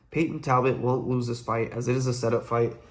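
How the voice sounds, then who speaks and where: The man's voice is somewhat breathy and medium in pitch. He talks at a fairly quick pace. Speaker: MMA betting analyst. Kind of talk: fight predictions breakdown. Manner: fast; casual, conversational.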